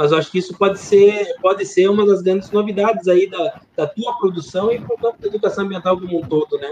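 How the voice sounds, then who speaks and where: A man speaks at a fairly quick pace with hardly any pauses. His voice is high-pitched, with ordinary pitch variation. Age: 40. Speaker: podcast host, academic. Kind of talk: interview.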